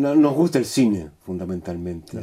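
A dark, mellow tone at a moderate pace. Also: man. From Chile. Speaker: actor. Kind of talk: interview. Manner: halting.

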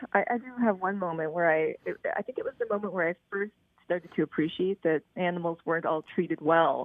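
A woman with a Canadian accent talks at a fairly quick pace with lively intonation. Hers is a plain, everyday voice at medium pitch. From Prince Edward Island, Canada. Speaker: animal rights advocate. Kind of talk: interview.

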